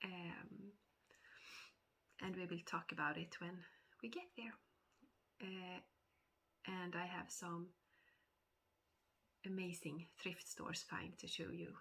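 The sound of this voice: Her voice is nasal with a fairly bright tone and a fairly low pitch, and her intonation stays fairly even. The woman speaks at a slow pace with long, frequent pauses.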